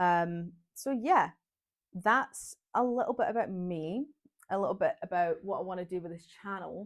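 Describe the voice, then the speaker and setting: A woman with a Glaswegian accent, medium-pitched, with lively intonation, big swings in loudness, and a moderate pace, on a very clean recording with a silent background. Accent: Glaswegian Scottish. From Scotland, Glasgow. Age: 20s. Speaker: vlogger. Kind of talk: casual vlog monologue. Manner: chatty, talkative.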